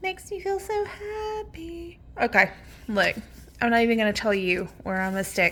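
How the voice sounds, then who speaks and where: A loud woman with a fairly high pitch talks in very wide pitch swings. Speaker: card game video host. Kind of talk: casual pack-opening chat. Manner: animated.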